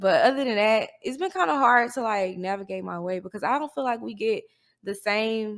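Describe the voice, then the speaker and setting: With a Southern US accent, a woman talks at a moderate pace. Her fairly high pitch has lively intonation. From US South, Mississippi. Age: 20s. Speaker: college student and social media influencer. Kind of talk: casual interview chat.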